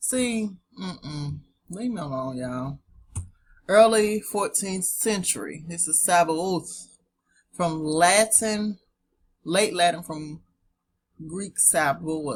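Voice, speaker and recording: Very slowly and with long, frequent pauses, a woman with a Southern US accent speaks in a fairly low, somewhat breathy voice, with lively intonation and big swings in loudness. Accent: southern twang. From US South. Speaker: online teacher. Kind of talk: casual teaching talk with reading aloud. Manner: casual, chatty.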